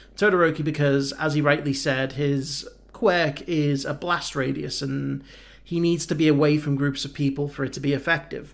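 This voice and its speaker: The voice stays monotone, with flat intonation. It moves along at a moderate speed. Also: man. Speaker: anime reaction youtuber. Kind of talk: casual vlog chat. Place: home room. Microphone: headset.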